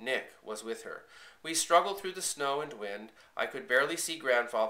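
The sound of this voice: An unforced reading voice with lively intonation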